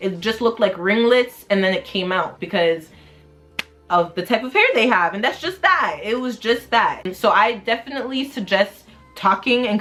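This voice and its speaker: With music in the background, a woman speaks at a moderate pace in a fairly high pitch with lively intonation. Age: 20s. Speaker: hair vlogger. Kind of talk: casual talk to camera.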